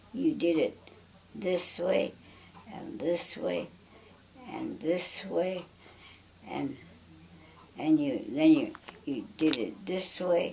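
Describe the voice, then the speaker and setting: Noticeable background noise accompanies a woman with an American accent who speaks at a very slow pace, with long, frequent pauses and big swings in loudness. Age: 90s. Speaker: family elder recounting memories. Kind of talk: oral history interview. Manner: halting.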